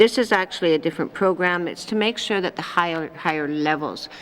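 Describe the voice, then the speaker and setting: The speaker is a woman. She talks fairly quickly. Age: 60s. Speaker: territorial premier. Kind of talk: legislative committee debate. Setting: legislative chamber.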